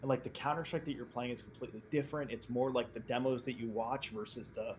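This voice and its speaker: At a fairly quick pace, a man with an American accent speaks in a somewhat breathy voice of medium pitch. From New Jersey. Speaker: esports player. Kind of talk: casual chat. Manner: animated.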